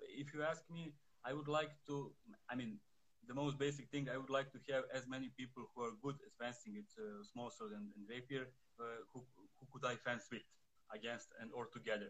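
Pausing long and often, a man with a Serbian accent talks at a moderate pace and medium pitch, with ordinary pitch variation and big swings in loudness. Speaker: fencing instructor. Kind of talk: interview. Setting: phone livestream. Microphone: too quiet.

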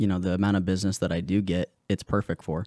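A man speaks in a very deep, low voice, recorded very cleanly against a silent background with a dry, close sound and no echo. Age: 20s. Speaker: podcast guest, real estate agent and auto detailer. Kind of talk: casual chat.

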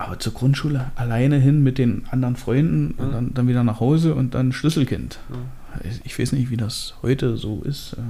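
A man with a plain, everyday voice talks at a moderate pace and a medium pitch with ordinary pitch variation. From eastern Germany, Hoyerswerda (Lausitz, Saxony). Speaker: podcast co-host. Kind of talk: casual chat.

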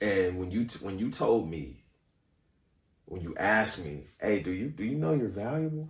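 The voice is somewhat breathy, moving at a moderate pace with very wide pitch swings. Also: man, fairly low pitch for a man. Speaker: singer and actor. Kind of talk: casual chat.

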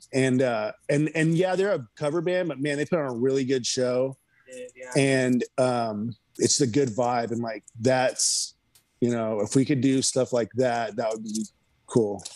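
In an American accent, a man talks at a fairly slow pace with a plain, everyday voice, medium pitch and ordinary pitch variation. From Texas, Houston. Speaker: punk drummer. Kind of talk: casual chat.

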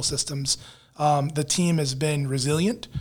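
Very clean and set against a silent background, a man with an American accent speaks in a somewhat breathy, fairly high voice. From Virginia Beach, Virginia, US. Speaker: public works director. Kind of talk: casual interview.

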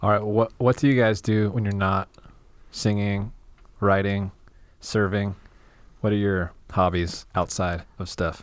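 A man with a fairly low voice speaks at a fairly slow pace, with fairly even intonation and long, frequent pauses, on a very clean recording with a silent background. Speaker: co-host. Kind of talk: casual interview chat.

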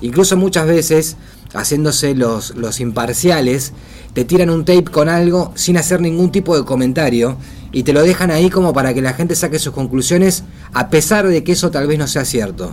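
Against noticeable background noise, a man with a fairly high pitch speaks at a moderate pace with ordinary pitch variation. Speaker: radio host. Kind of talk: casual chat.

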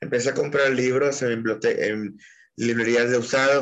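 A man with a normal speaking voice, fairly even intonation and a fairly slow pace. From Mexico, Puerto Vallarta (Jalisco). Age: 30s. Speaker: poet. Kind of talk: interview.

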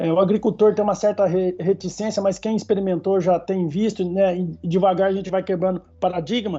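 Here a man talks in a high pitch. His intonation is monotone and flat, and his pace fairly quick. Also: hardly any pauses. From São Paulo state interior (São José do Rio Preto region), Brazil. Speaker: agronomy professor. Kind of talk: expert interview. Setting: podcast recording.

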